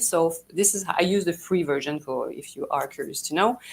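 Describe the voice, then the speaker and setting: This woman speaks with a French Canadian accent. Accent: typical French Canadian. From Canada (French Canadian). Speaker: PR agency founder. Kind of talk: live talk to audience. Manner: enthusiastic, halting.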